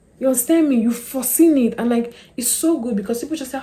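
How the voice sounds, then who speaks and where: A woman's high, animated voice with lively intonation over noticeable background noise. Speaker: lifestyle YouTuber. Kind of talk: casual talk-to-camera advice. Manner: fast.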